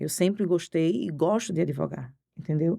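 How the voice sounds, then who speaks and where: This woman's tone is dark and mellow. She speaks at a moderate pace in a Recife accent. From Pernambuco, Brazil (Recife area). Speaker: criminal defense lawyer. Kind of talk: podcast interview.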